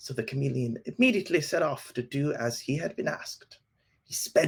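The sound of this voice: The speaker uses an unforced reading voice against a quiet background.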